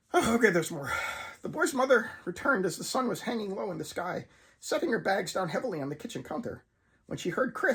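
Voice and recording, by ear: Someone is reading aloud in a natural voice.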